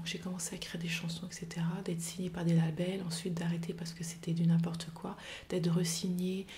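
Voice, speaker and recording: A woman speaks at a fairly quick pace with monotone, flat intonation. Her tone is dark and mellow and somewhat breathy. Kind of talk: personal testimony to camera. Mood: reflective, calm, somewhat somber.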